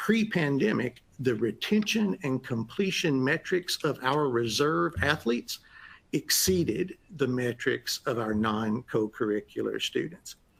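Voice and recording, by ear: At a fairly slow pace, the voice has a fairly bright tone with a slightly husky edge, vocal fry and ordinary pitch variation. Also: man, medium pitch for a man.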